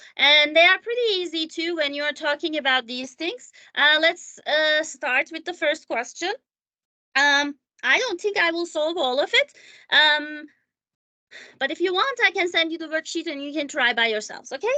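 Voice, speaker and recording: A woman with a non-native accent projects a raised voice at an extremely high pitch, her bright, sharp tone and lively intonation moving at a moderate pace in a dry, close sound with no echo. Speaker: math teacher. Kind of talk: tutorial. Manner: halting, many fillers; casual.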